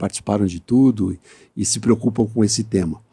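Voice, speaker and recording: The voice has a dark, mellow tone, moves at a very fast pace and shows ordinary pitch variation. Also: man. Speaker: podcast host. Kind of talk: podcast interview. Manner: hesitant with frequent filler sounds.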